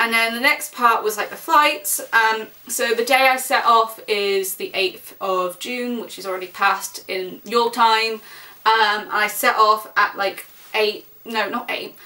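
Speaking at a fairly slow pace with an English accent, a woman uses a fairly high pitch with ordinary pitch variation and big swings in loudness. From England. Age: 20s. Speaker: vlogger. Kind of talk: casual vlog monologue; casual vlog chat. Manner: rambling with fillers. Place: home room. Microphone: camera far.

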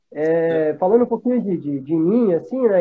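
Pitched high, a man's voice moves at a moderate pace with ordinary pitch variation. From Brazil, Paraná (Pato Branco). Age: 30s. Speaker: motorcycle club regional representative. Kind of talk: casual chat. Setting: video call. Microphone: video call.

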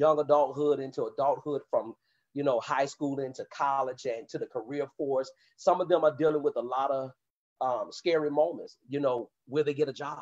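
With a quiet background, a man talks at a moderate pace and ordinary pitch variation. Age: 30s. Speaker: youth pastor. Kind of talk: panel discussion. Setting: video call. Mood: earnest, encouraging. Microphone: video call.

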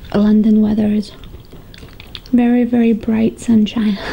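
Over light background noise, a woman speaks fairly slowly in a monotone, flat intonation. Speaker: mukbang vlogger. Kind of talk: casual talk to camera. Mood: cheerful, relaxed. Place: home room.

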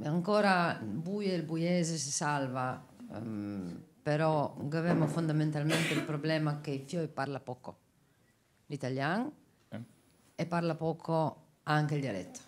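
Long pauses come often as the speaker proceeds at a fairly slow pace. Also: woman. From Istria. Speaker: teacher from Istria. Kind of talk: audience contribution. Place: hall.

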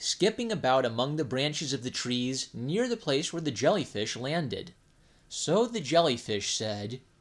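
The clip is plain reading aloud. Nothing beyond that stands out.

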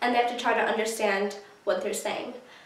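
A woman's voice comes through with audible room echo. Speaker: YouTuber. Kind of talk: casual talk to camera. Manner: upbeat, friendly. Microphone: camera far.

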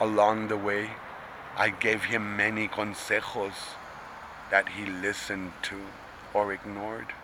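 In a dry recording with no echo but noticeable background noise, a man speaks at a fairly slow pace in a fairly low, monotone, flat voice. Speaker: poetry reader. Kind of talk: poetry reading. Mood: tender, proud. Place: street. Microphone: phone near.

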